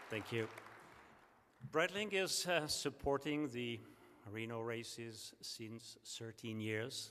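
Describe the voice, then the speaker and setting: A man with a French accent and a medium-pitched, bright, sharp tone speaks very slowly. He leaves long, frequent pauses, and his pitch varies in an ordinary way. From France. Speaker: sponsor company representative. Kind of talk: award ceremony speech. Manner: halting, many fillers.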